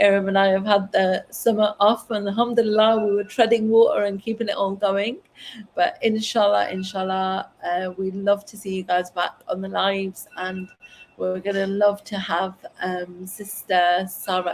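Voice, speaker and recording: Her loudness swings a lot while this woman keeps a monotone, flat intonation. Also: medium pitch for a woman. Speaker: online parenting community host. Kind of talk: live stream casual chat. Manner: fast.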